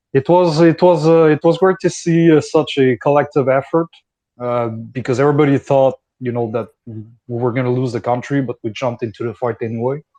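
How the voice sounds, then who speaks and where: Speaking at a fairly quick pace with a Quebec accent, a man has a medium pitch, ordinary pitch variation and a dark, mellow tone, recorded with a dry, close sound with no echo. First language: French. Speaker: foreign volunteer fighter. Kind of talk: casual discussion. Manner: halting.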